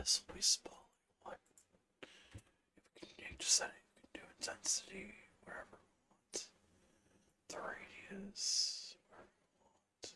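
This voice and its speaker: Whispering in a relaxed tone, the speaker leaves long, frequent pauses, and the loudness swings widely. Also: woman. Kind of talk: ASMR tutorial, relaxed instructional talk while working in a game engine. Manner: soft, relaxed, slow.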